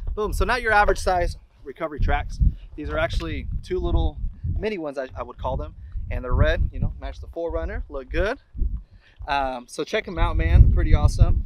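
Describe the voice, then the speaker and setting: Loud background noise surrounds the voice. A man talks at a fairly quick pace. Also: dry sound with no echo. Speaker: off-road vlogger. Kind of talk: casual product review. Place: open country.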